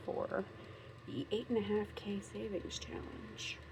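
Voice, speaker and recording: Noticeable background noise runs under this recording. A woman talks with an American accent. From Minnesota, US. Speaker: craft and budgeting vlogger. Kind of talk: casual unboxing vlog. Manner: chatty, rambling with many fillers.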